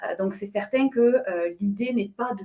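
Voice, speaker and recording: A woman with a slight southwestern French accent, at a moderate pace with fairly even intonation. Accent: slight southwest French. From southwest France. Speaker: company president, panelist. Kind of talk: webinar panel discussion. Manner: many hesitations and fillers.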